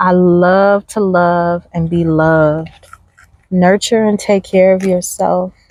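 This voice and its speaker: A soft-spoken woman at a very slow pace, medium in pitch, with monotone, flat intonation. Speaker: spiritual oracle card reader. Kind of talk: oracle card reading. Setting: outdoors. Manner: slow, unhurried.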